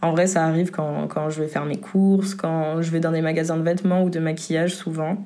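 A woman's fairly quick, fairly evenly intoned speech, with audible room echo and noticeable background noise. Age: 20s. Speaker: testimony contributor. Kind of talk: testimony.

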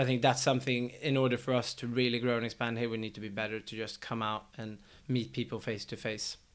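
In a very clean recording with a silent background, a man with a Swedish accent speaks very fast in a flat monotone. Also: medium pitch for a man. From Sweden. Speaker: tech startup executive. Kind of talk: casual chat.

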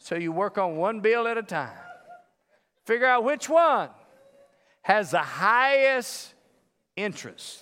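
A high-pitched man with an American accent speaks in a raised, projected voice, sounding animated with lively intonation and long, frequent pauses. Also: fairly slow pace. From US South. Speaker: pastor. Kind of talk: sermon.

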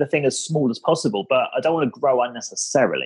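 A man talks with an English accent. He goes at a very fast pace. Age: 30s. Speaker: startup founder. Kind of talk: casual interview. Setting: podcast recording.

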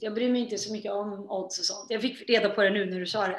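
A woman's medium-pitched voice at a fairly quick pace, with fairly even intonation over noticeable background noise. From Sweden. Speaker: singer. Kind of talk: interview.

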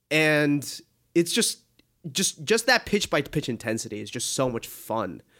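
Very wide pitch swings and vocal fry at a fairly slow pace, in a very clean recording with a silent background. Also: man, fairly high pitch for a man. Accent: American. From Boston. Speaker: sports journalist. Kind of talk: casual interview.

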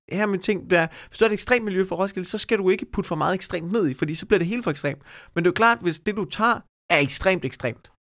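Over a very clean recording with a silent background, a man talks at a fairly quick pace. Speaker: comedian. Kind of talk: casual chat.

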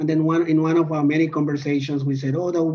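The speaker has a Spanish accent. The intonation is flat and monotone. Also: man. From Colombia. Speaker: PhD student and podcast host. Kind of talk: casual chat.

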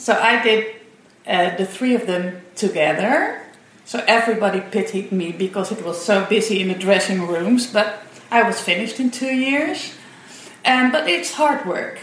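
Using lively intonation, a woman with a Dutch accent speaks at a fairly high pitch over noticeable background noise. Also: moderate pace. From Netherlands. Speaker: parent. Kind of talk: interview.

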